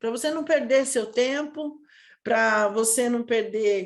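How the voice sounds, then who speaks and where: A woman at a fairly high pitch and fairly slow pace, with ordinary pitch variation, over a quiet background. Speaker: sales mentor. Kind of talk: online lesson. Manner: animated.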